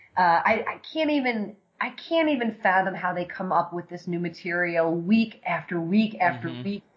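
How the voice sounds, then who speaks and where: A woman speaks at a moderate pace with hardly any pauses, in a plain, everyday voice. Her pitch sits at medium, and her intonation is lively. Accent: American. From New York City, Staten Island. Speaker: film and theater director. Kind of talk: casual interview chat.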